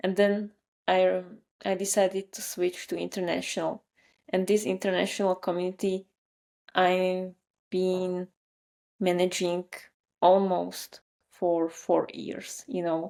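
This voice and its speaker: In a very clean recording with a silent background, a woman speaks fairly slowly in a dark, mellow, monotone voice, pausing long and often. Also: medium pitch for a woman. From Slovakia. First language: Slovak. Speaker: marketer and newsletter writer. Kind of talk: interview conversation.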